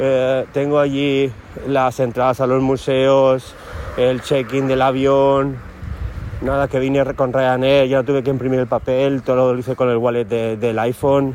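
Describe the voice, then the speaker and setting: Over noticeable background noise, a man talks fairly slowly at a medium pitch, with very even loudness and a monotone, flat intonation. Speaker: teacher and podcaster. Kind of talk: casual solo vlog monologue. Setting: walking outdoors in a city. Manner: hesitant, with fillers.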